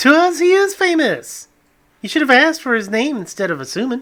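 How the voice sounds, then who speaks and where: A man's put-on character voice, extremely high-pitched, at a fairly quick pace. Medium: read story.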